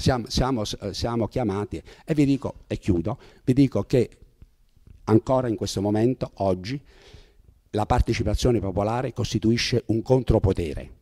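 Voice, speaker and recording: Over a quiet background, a man with a dark, mellow tone speaks at a moderate pace, with ordinary pitch variation and long, frequent pauses. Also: medium pitch for a man. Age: 70s. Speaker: retired judge and jurist speaker; retired judge, speaker. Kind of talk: public talk. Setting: meeting hall with audience. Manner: halting, with frequent repetitions. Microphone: handheld.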